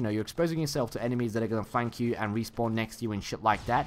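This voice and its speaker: A man speaks in a medium pitch. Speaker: gameplay commentator. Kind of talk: gameplay commentary. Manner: casual.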